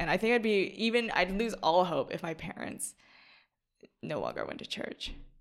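A woman speaks in a plain, everyday voice with an American accent. Her pace is moderate and her pitch variation ordinary. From US South, Atlanta, Georgia. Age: young. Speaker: college student. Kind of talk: casual chat.

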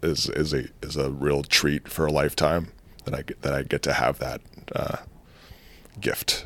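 With a very deep, low pitch and vocal fry, a man speaks in a flat monotone at a moderate pace, leaving long, frequent pauses. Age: 30s. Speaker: nurse and musician. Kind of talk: casual interview.

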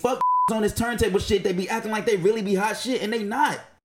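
A man speaks at a very fast pace. His American accent carries lively intonation. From North Carolina. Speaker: podcast co-host. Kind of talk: casual chat.

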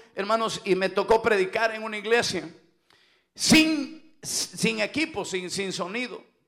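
A loud, animated man's voice at a high pitch and a fairly slow pace. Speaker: pastor. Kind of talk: sermon. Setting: church.

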